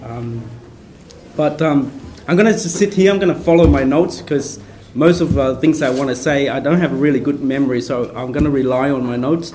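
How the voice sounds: The voice is soft-spoken and slightly mellow, at a moderate pace. Room echo is audible. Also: man, medium pitch for a man, ordinary pitch variation.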